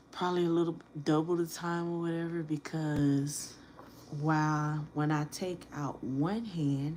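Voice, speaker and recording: Soft-spoken and fairly slow, a woman talks with a very deep, low pitch, a dark, mellow tone and fairly even intonation. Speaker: nail tech. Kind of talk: live stream tutorial. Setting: live stream at home.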